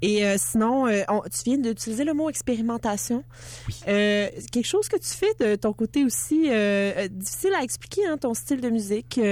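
A woman with a Quebec accent speaks at a moderate pace. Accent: Québécois French. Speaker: radio host. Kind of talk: interview. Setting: studio.

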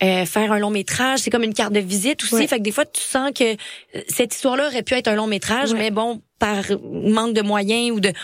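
Talking at a fairly quick pace, a woman with a Quebec accent uses a fairly high pitch. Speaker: actress and festival spokesperson. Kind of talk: casual interview chat. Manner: animated.

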